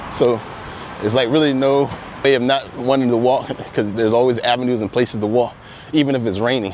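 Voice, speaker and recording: A man's medium-pitched voice at a fairly quick pace, intonation fairly even, over noticeable background noise. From United States. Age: 40s. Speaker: digital marketing business owner. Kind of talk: casual walking vlog talk to camera. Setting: outdoors. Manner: casual, conversational.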